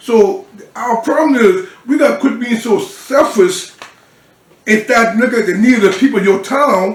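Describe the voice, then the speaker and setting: A man with an American accent speaks at an extremely high pitch and a moderate pace. His tone is animated and his intonation lively. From US South, Georgetown, South Carolina. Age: 60s. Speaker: city council member. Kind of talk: interview. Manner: halting, repeats words.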